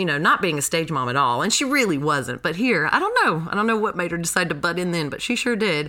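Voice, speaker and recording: A woman with an American accent talks at a very fast pace amid noticeable background noise. Her fairly low pitch makes very wide swings. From North Carolina (Graham). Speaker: actress and theater education director. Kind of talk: casual interview.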